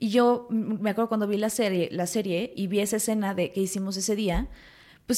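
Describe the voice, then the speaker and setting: Very fast speech from a woman, fairly high in pitch, with fairly even intonation. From Mexico City and Morelos. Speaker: actress. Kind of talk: casual chat.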